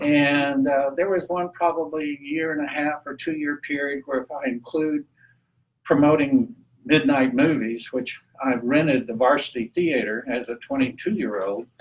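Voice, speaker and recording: Here a man talks with a Texan accent in a fairly high voice. His pace is moderate and his pitch varies in an ordinary way. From Texas, Amarillo (Texas Panhandle). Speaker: renewable energy activist and guest speaker. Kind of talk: talk at a public meeting. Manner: casual, halting with fillers.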